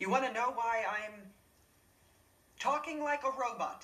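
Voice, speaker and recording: A put-on character voice sits at a fairly high pitch. It moves at a moderate pace. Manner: monotone, flat, mechanical.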